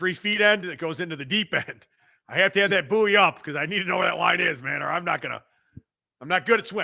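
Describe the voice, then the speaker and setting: A man speaks very fast in a high voice with a Chicago accent. His tone is animated. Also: ordinary pitch variation. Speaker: podcast host, fitness equipment seller. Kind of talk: casual chat. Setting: live stream.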